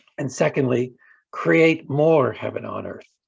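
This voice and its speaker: At a moderate pace, a man speaks with vocal fry. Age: 70s. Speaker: author and organizer. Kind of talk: radio interview.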